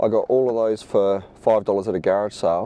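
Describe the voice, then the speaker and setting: With an Australian accent, a man speaks with ordinary pitch variation. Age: 40s. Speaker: reseller. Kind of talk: casual talk to camera. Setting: in a car.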